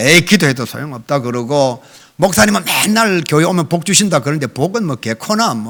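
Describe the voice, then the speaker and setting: The speaker moves at a fairly quick pace through very wide pitch swings. The recording is very clean, with a silent background. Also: man, fairly high pitch for a man. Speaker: guest revival preacher. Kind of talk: sermon. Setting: church. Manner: animated.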